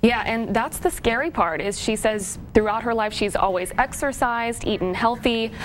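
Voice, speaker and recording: A woman at a moderate pace with ordinary pitch variation and hardly any pauses. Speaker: TV news reporter. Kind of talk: TV news report.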